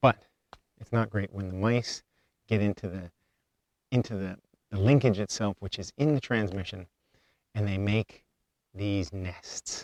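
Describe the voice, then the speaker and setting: On a very clean recording with a silent background, a man mumbles at a fairly slow pace in a fairly low pitch, with long, frequent pauses. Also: ordinary pitch variation, big swings in loudness, dry, close sound with no echo. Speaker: homesteader vlogger. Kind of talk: casual vlog talk. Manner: mumbling; halting.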